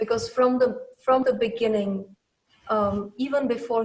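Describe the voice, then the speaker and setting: At a moderate pace, a woman with a non-native accent speaks at a fairly high pitch. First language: not English. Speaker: playwright. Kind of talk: interview. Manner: halting.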